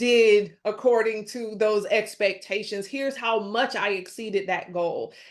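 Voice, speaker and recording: At a fairly slow pace, a woman speaks in a fairly high pitch with an animated tone. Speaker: resume expert panelist. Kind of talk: webinar panel advice talk.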